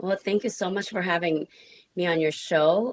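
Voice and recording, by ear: This woman uses a put-on character voice that is raspy, with medium pitch and fairly even intonation. She talks at a moderate pace, and the sound is dry and close with no echo.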